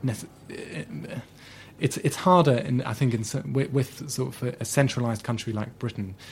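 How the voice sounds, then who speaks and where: A man of medium pitch with vocal fry, lively intonation and a fairly slow pace. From Germany, Schleswig-Holstein. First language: German. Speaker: author and journalist. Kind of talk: interview. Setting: studio. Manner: halting.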